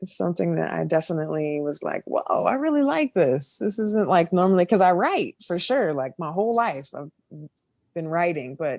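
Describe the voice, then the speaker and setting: Her pitch fairly low and swinging very widely, a woman speaks with a slight Midwestern accent. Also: moderate pace. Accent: slight Midwest, a little country. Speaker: music producer and business owner. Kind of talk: casual chat.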